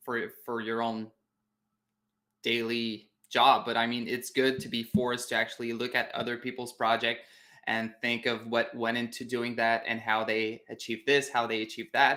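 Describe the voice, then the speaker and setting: A man with a Quebec accent talks at a medium pitch and moderate pace in a bright, sharp tone. His intonation is monotone and flat, and the recording is very clean with a silent background. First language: French. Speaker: web designer. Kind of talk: interview. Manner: halting.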